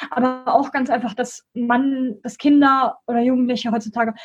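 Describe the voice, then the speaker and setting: A woman speaks at a moderate pace with a high pitch and fairly even intonation. Music plays in the background. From Germany, Bonn. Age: 20s. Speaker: student and school education volunteer. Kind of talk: interview.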